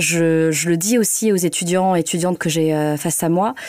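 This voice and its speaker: Her voice has a dark, mellow tone and a fairly low pitch. The woman keeps a moderate pace and fairly even intonation. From northern France (Hauts-de-France). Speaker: journalist. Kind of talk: interview. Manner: hesitant, many fillers.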